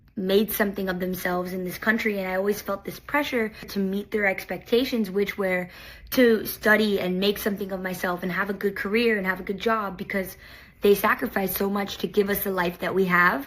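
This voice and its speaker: Spoken at a fairly quick pace with fairly even intonation, this is an unremarkable speaking voice. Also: woman. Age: 20s. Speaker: reality TV contestant. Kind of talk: personal video message. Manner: casual, with fillers.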